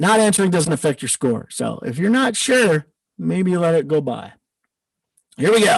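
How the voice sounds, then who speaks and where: Talking at a moderate pace with long, frequent pauses, a man with an American accent uses a high pitch that makes very wide swings. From US Midwest, northern Wisconsin. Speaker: trivia quiz host, agile coach. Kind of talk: live-streamed trivia hosting. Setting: live stream. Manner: casual, joking.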